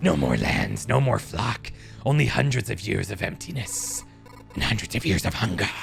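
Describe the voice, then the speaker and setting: Over clear music in the background, a man talks at a moderate pace in a put-on character voice. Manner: ominous, brooding, hungry.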